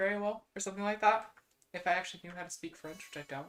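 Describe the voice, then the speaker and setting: With a Midwestern American accent, a woman speaks at a very fast pace, her medium pitch varying in an ordinary way. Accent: generic Midwestern American. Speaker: VTuber streamer. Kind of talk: casual live-stream chat.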